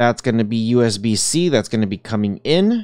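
The sound is dry with no echo as a man speaks at a moderate pace over a quiet background. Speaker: tech reviewer. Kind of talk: product review commentary. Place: home room.

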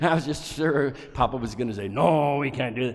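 A man talks with an American accent. His voice has vocal fry. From Nebraska, US Midwest. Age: 80s+. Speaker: conductor. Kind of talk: artist presentation talk. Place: hall. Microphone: headset.

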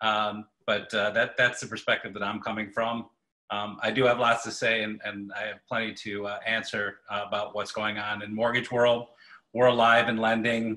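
A man's medium-pitched voice in an American accent, monotone and flat, at a moderate pace. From Michigan. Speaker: mortgage banker. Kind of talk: webinar panel Q&A. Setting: video call.

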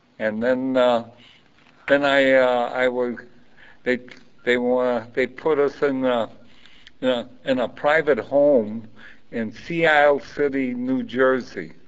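In a Chicago accent, the speaker goes at a very slow pace with fairly even intonation and long, frequent pauses. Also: man, medium pitch for a man. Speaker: Coast Guard veteran. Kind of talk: oral history interview. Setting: library.

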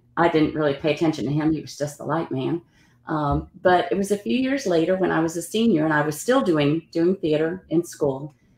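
In a room with audible echo, a woman with a very deep, low pitch talks at a fairly quick pace with lively intonation. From New Orleans, Louisiana. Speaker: actor; interview guest, actor. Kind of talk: interview. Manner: halting, with many fillers. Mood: warm, reflective. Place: home room.

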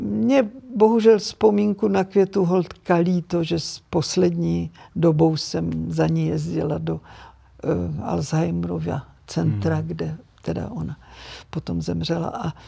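Very slowly, a woman speaks while the background stays quiet. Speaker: actress and dubbing artist. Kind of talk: interview answer. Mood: warm, reflective, turns sad. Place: studio.

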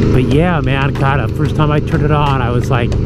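Over background music, a man talks at a moderate pace, the sound dry with no echo. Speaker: motovlogger. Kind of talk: casual vlog chat. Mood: excited, upbeat. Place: motorbike. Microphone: helmet.

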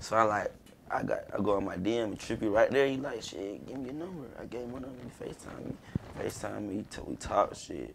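Over noticeable background noise, a man speaks at a fairly quick pace with big swings in loudness. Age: 20s. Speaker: rapper; podcast guest. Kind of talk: casual chat. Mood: relaxed, casual storytelling. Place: studio.

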